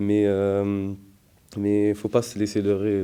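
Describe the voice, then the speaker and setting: Against a quiet background, a man talks at a very slow pace. His voice has a fairly low pitch and a dark, mellow tone. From France, Paris suburbs (Gennevilliers). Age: 20s. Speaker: theology student. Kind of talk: testimony. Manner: hesitant, many fillers.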